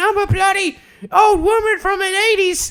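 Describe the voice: Put-on character voice at an extremely high pitch, in a British accent. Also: moderate pace.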